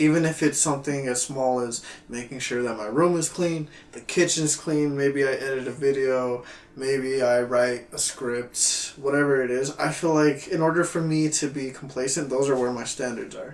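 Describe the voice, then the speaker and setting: Noticeable background noise sits behind a man speaking at a moderate pace, his fairly high voice held in fairly even intonation. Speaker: podcast host, aspiring filmmaker. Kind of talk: casual chat. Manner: controlled, restrained on the podcast.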